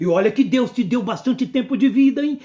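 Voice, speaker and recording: An animated tone and lively intonation stand out in a very clean recording with a silent background. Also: man. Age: 60s. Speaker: pastor. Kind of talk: sermon.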